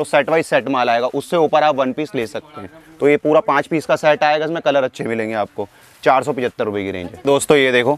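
A man at a moderate pace, ordinary pitch variation, dry sound with no echo. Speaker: shop salesman presenting goods. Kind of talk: product showcase commentary. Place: shop. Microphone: lapel.

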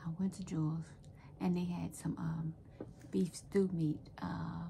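Soft-spoken and fairly slow, a woman speaks over light background noise. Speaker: home vlogger. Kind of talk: casual vlog chat. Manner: soft-spoken, quiet storytelling. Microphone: phone near.

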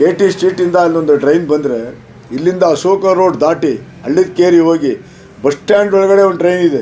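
With very even loudness and ordinary pitch variation, a man speaks in a high-pitched voice. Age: 60s. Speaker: local politician. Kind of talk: press statement.

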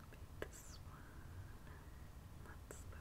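A woman talks at a very slow pace while loud background noise fills the clip. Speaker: ASMR creator. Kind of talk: ASMR manicure video, casual talk to camera. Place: home room.

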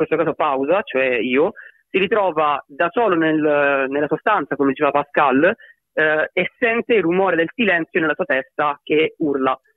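A man with a slight Sicilian accent, high pitch, lively intonation, and a moderate pace. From Sicily. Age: 20s. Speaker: electronic/rap artist. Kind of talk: interview.

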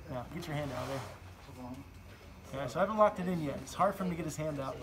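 The talking proceeds at a moderate rate, with clearly audible noise in the background. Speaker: martial arts coach. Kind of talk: tutorial. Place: gym. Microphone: camera far.

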